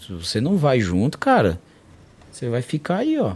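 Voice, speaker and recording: A man speaks at a moderate pace in a medium pitch, his tone dark and mellow and somewhat breathy. His pitch swings very widely. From São Paulo, south zone periphery. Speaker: martial arts coach. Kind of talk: casual interview.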